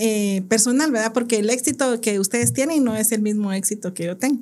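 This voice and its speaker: Woman's dark, mellow tone with ordinary pitch variation, in a very clean recording with a silent background. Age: 50s. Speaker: teacher. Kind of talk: testimony.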